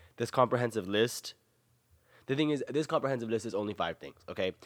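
On a very clean recording with a silent background and a dry, close sound with no echo, a man with an American accent speaks in an animated tone with ordinary pitch variation. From US South. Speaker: podcast host. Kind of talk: casual monologue.

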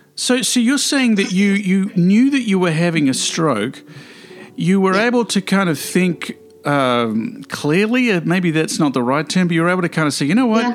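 Over noticeable background noise, a man with a high voice talks at a moderate pace, his pitch swinging very widely while his loudness stays very even. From Australia. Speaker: podcast host. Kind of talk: casual interview chat.

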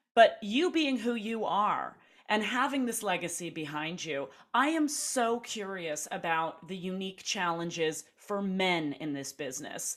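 At a fairly slow pace, a woman of medium pitch talks with very wide pitch swings. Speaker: podcast host. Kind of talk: casual interview. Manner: animated.

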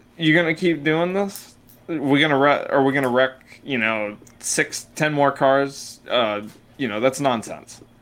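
A man speaks in a normal speaking voice at a fairly slow pace, with a fairly high pitch and ordinary pitch variation. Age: 20s. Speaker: podcast co-host. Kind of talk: casual chat.

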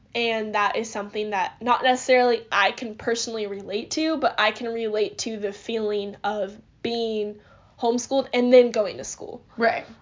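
Her fairly high pitch carries ordinary pitch variation as the woman speaks at a moderate pace. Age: 20s. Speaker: podcast host. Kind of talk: testimony; casual chat.

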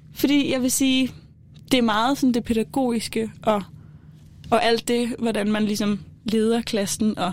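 A somewhat breathy voice at a fairly slow pace. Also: woman, very even loudness. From Denmark, Kolding. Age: 20s. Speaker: student. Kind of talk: casual chat. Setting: studio.

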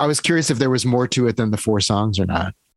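The sound is dry and close, with no echo. It's a plain, everyday voice moving at a fairly quick pace. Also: man. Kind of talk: interview.

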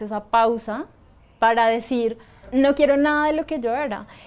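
A woman's high-pitched voice with fairly even intonation, in a Bogotá accent, on a very clean recording with a silent background. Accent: Colombian Spanish (Bogotá). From Colombia, Bogotá. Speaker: astrologer. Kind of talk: interview.

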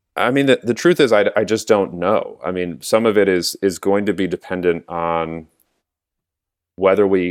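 A man with an American accent at a moderate pace and ordinary pitch variation, dry and close with no echo, on a very clean recording with a silent background. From US West Coast (San Diego, California). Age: 40s. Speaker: county elected official. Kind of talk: interview.

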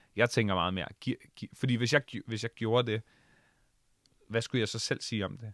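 In a dry, close sound with no echo, a man speaks at a moderate pace and medium pitch, his intonation fairly even and his pauses long and frequent. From Bornholm, Denmark. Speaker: radio host and DJ. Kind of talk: casual interview chat. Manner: hesitant with many fillers and repetitions.

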